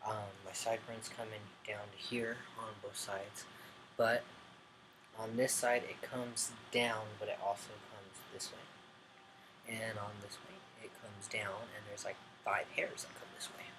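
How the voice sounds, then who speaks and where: Speaking at a fairly slow pace in a room with audible echo, a man keeps a monotone, flat intonation while his loudness swings widely. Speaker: vlogger. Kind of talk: casual video update. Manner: mumbling; hesitant, many ums.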